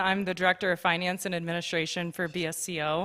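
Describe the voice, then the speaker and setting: A woman is speaking. Her voice sits at a medium pitch. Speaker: finance director. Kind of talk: public presentation. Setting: stage with audience. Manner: fast; halting.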